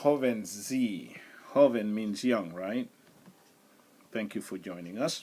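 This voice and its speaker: A man speaks at a very slow pace. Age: 60s. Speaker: livestream host, retired insurance agent. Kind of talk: casual livestream monologue. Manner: halting, many filler words.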